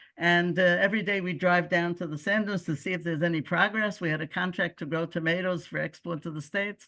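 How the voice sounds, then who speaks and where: A woman with a Brooklyn accent and a bright, sharp tone speaks at a fairly quick pace, fairly low in pitch with fairly even intonation, over a quiet background. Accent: American (Brooklyn). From US Northeast (Brooklyn, New York). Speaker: expelled settler and community leader. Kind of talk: personal storytelling talk. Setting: video call.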